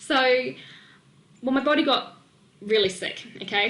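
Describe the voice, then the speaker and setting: Amid noticeable background noise and audible room echo, a woman sounds animated with a slight New Zealand accent. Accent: slight New Zealand twang. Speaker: nutrition and weight-loss coach. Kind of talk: webinar presentation.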